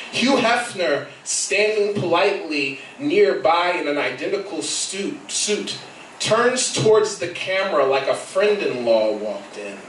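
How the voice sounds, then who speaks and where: A man with a high pitch speaks with lively intonation. There is audible room echo and light background noise. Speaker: poet. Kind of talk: spoken word poetry reading at open mic. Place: cafe. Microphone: camera far.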